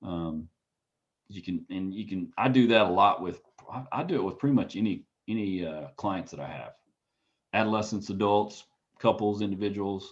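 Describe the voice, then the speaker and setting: The speech has long, frequent pauses, ordinary pitch variation and big swings in loudness. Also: man, fairly low pitch for a man. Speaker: counseling instructor. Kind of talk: lecture. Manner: fast.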